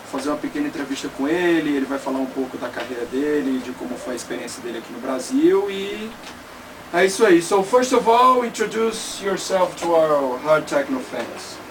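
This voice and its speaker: A man with a fairly high pitch talks at a fairly quick pace, his pitch swinging very widely and his loudness rising and falling sharply over noticeable background noise. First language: Portuguese. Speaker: interviewer. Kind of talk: interview. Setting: studio.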